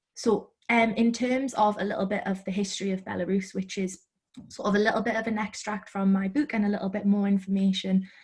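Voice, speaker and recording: A woman speaks at a fairly quick pace and a medium pitch. Her voice is somewhat breathy, with monotone, flat intonation. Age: 20s. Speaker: author. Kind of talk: interview. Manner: hesitant with fillers.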